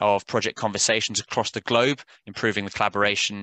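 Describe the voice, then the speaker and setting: Speaking fairly quickly with a British accent, a man has a bright, sharp tone and fairly low pitch, in a dry, close sound with no echo and a quiet background. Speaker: software sales executive. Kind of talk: webinar presentation. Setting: online webinar. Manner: hesitant, many fillers.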